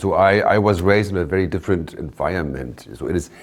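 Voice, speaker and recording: A man talks at a fairly quick pace with ordinary pitch variation over noticeable background noise. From Germany, Bremen. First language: German. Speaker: shipping company owner and CEO. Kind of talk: interview. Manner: halting.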